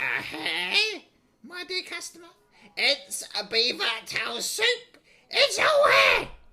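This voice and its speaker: A man puts on a character voice pitched extremely high, speaking at a very slow pace with long, frequent pauses. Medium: audio drama. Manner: grandiose, theatrical.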